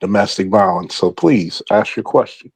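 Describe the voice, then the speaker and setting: Animated and at a moderate pace, a man talks with an American accent. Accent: Baltimore accent, stronger when drinking. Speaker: former police officer, talk show host. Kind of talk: casual chat, group discussion. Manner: animated, emphatic.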